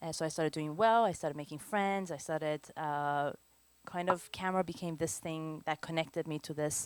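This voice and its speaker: A woman with a Persian accent, her pitch very deep and low, ordinary pitch variation, on a very clean recording with a silent background. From Iran, moved to Canada as a teenager. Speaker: photographer. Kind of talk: lecture.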